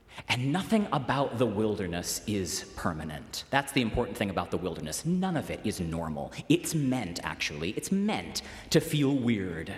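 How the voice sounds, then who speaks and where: A man at medium pitch with very wide pitch swings, a moderate pace, and hardly any pauses, amid noticeable background noise and audible room echo. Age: 30s. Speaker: preacher. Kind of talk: sermon. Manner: conversational.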